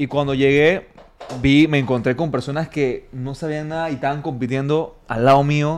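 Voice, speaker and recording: This man talks at a moderate pace in a fairly high pitch, his intonation monotone and flat. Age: 30s. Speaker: fitness coach and gym owner. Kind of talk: interview.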